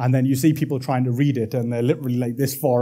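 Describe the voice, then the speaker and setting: A man's medium-pitched voice, dark, mellow and somewhat breathy, with fairly even intonation, on a very clean recording with a silent background. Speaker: interaction designer. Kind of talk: conference talk. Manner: casual, many filler words.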